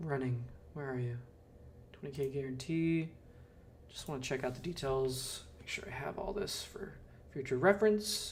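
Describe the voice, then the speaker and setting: Amid audible room echo, a man with an American accent and a fairly high pitch speaks at a moderate pace with ordinary pitch variation and long, frequent pauses. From Southern California. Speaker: poker streamer. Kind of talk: live stream commentary. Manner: casual, hesitant with many fillers.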